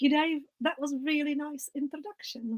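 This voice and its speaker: A woman talks at a fairly quick pace with fairly even intonation. The sound is dry and close, with no echo. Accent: non-native. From outside England, non-English country. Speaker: ceramicist and visual arts curator. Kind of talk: online webinar talk.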